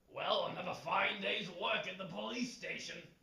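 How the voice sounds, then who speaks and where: Putting on a raspy character voice, a man speaks high at a moderate pace with a slight echo. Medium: short film.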